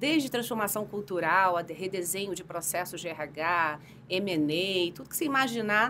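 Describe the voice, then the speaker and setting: A woman with a Rio de Janeiro accent talks at a fairly quick pace. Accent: carioca accent, noticeable. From Brazil, Rio de Janeiro. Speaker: HR executive, psychologist. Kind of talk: podcast interview. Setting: podcast studio.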